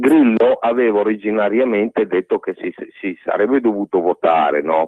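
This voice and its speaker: The speaker moves at a moderate pace. Pitch variation is ordinary. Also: man, fairly low pitch for a man. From Emilia, Italy (Reggio Emilia). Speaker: caller. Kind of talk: phone-in opinion. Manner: halting, self-correcting.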